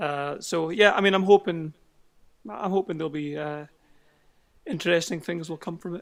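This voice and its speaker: A high-pitched man with a Scottish accent talks at a moderate pace with ordinary pitch variation, big swings in loudness and long, frequent pauses. The recording is very clean, with a silent background. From Scotland. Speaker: singer-songwriter. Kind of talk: interview. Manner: hesitant.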